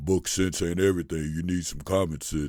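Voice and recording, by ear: A man performs a put-on character voice, very deep and low. He talks at a fairly quick pace with fairly even intonation.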